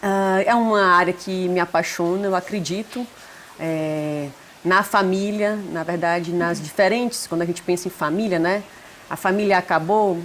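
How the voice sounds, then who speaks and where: The speaker has a strong northeastern Brazilian accent and a fairly even intonation. The pace is moderate, and there is noticeable background noise. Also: woman, medium pitch for a woman. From Brazil, Northeast (Fortaleza). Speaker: psychologist, family therapist. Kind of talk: interview.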